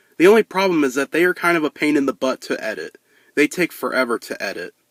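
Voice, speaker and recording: The speaker moves at a fairly quick pace with very wide pitch swings, and the sound is dry and close with no echo. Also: man. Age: 20s. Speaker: YouTuber and mascot performer. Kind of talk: casual Q&A to camera. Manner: unscripted with stutters and long pauses.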